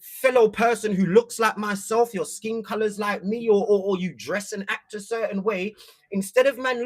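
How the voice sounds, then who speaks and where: In a London accent, a man talks at a high pitch with fairly even intonation. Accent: London multicultural English. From East London. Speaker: content creator. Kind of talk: casual livestream chat. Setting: livestream.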